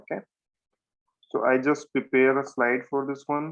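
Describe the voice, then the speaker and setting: His voice sits at a medium pitch. This man keeps a moderate pace. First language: not English. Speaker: programming tutor. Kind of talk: programming tutorial lecture.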